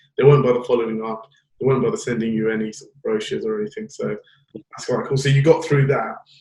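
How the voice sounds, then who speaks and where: A man is speaking. His pace is very fast. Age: young. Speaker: podcast host. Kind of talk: interview.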